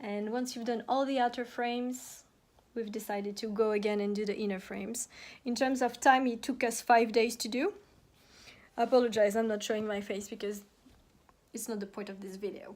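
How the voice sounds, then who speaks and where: With long, frequent pauses, a woman speaks in a monotone, flat delivery at a fairly high pitch. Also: fairly quick pace. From France. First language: French. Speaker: home decor YouTuber. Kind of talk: tutorial. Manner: casual, hesitant with fillers.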